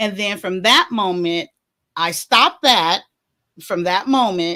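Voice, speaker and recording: With a plain, everyday voice, the speaker uses lively intonation at a fairly slow pace. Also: woman, very clean recording, silent background. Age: 50s. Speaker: talk show host sharing life story. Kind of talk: personal testimony.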